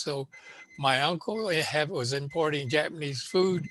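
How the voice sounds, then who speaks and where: A man with a West Coast accent and fairly high pitch, at a moderate pace over noticeable background noise. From Los Angeles, East Hollywood. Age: 90s. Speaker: Japanese-American elder, panelist. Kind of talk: oral history testimony. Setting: video call. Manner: halting, many fillers.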